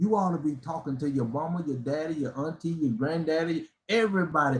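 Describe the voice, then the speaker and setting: A man speaks at a fairly quick pace with lively intonation. His voice is somewhat breathy. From US South. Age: 60s. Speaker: motivational speaker. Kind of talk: motivational live stream talk. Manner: animated.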